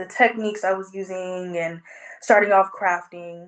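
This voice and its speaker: Here a woman speaks at a moderate pace. Her pitch is medium. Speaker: sculptor. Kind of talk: interview. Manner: hesitant, many fillers.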